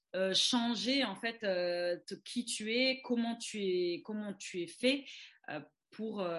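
The speaker moves at a very slow pace. The intonation is lively. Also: woman. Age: 20s. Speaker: commercial model. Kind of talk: casual chat. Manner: halting.

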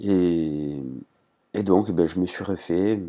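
A man's dark, mellow voice comes through on a very clean recording with a silent background. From Corsica. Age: 20s. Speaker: trail runner and adventurer. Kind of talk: interview testimony. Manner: halting, many repetitions.

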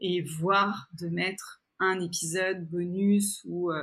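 Somewhat breathy, a woman speaks at a fairly low pitch in a monotone, flat intonation. The recording is very clean, with a silent background. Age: 40s. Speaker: podcaster and entrepreneur. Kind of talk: interview conversation. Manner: hesitant, many fillers and repetitions.

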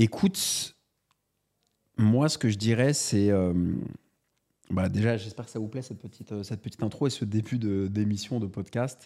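Pausing long and often, a man speaks at a moderate pace in a fairly low voice with ordinary pitch variation. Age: 30s. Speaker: entrepreneur and author, podcast co-host. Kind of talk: casual chat.

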